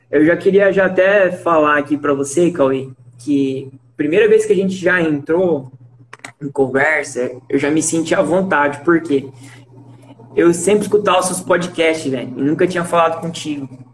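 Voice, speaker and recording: A man with a fairly high voice talks while noticeable noise sounds in the background. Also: ordinary pitch variation, moderate pace. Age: 20s. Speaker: medical graduate. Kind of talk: casual interview.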